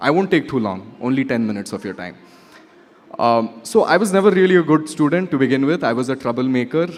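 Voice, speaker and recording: A man talks at a fairly quick pace in an ordinary speaking voice, medium in pitch, with lively intonation. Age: 30s. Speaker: media company founder, guest speaker. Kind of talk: keynote speech with storytelling. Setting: conference stage with audience. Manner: casual, conversational with fillers.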